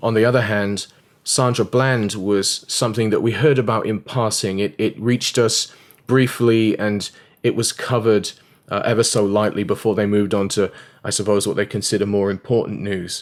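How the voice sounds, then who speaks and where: Fairly low male voice in an English accent, at a moderate pace, on a very clean recording with a silent background. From England. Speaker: evangelist. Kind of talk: video commentary. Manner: animated.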